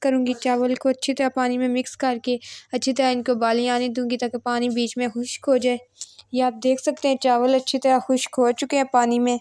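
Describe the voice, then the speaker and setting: A woman's high pitch in a monotone, flat intonation at a moderate pace, with a dry sound with no echo and a quiet background. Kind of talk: tutorial. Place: kitchen. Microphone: phone near.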